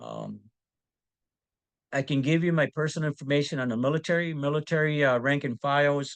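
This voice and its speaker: The speaker is a man. He talks with a fairly high pitch. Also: dry, close sound with no echo. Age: 60s. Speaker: community library founder and military veteran. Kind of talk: panel discussion. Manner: halting, many fillers.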